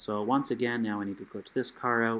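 The man's voice is soft-spoken. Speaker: gaming youtuber. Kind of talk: tutorial. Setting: home, late at night. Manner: casual.

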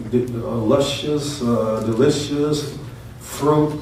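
Amid light background noise and audible room echo, a man talks with ordinary pitch variation. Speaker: pastor. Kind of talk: sermon. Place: church. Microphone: camera far.

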